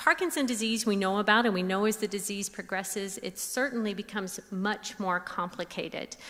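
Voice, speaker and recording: At a moderate pace, a woman with a fairly high voice and ordinary pitch variation speaks over noticeable background noise. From US South, Tennessee. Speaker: speech pathologist. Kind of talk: lecture.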